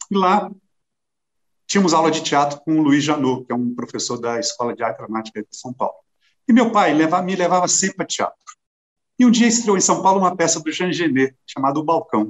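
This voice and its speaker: A man talks at a fairly quick pace with lively intonation. He has an ordinary speaking voice, fairly high in pitch. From Brazil, southern Minas Gerais. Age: 60s. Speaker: actor. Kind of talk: interview conversation.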